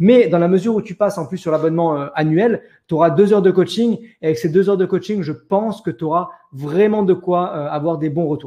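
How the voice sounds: A man with a high pitch and a dark, mellow tone carrying a slightly husky edge speaks at a fairly quick pace with ordinary pitch variation.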